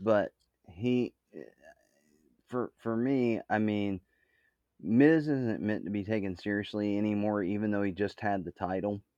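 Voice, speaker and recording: A man's fairly low, dark, mellow voice at a fairly slow pace with long, frequent pauses, in a dry, close sound with no echo. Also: ordinary pitch variation. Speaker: podcast co-host. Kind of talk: casual chat. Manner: joking, humorous.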